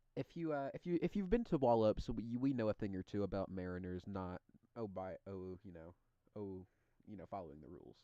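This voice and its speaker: Dark and mellow in tone, the voice moves at a fairly quick pace with lively intonation and big swings in loudness, in a dry, close recording with no echo. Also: man, fairly low pitch for a man. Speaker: livestream host. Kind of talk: casual chat. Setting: live stream.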